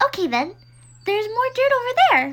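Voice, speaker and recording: In a put-on character voice, a woman sounds squeaky at an extremely high pitch. She keeps a moderate pace. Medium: cartoon. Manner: loud, blunt, impatient.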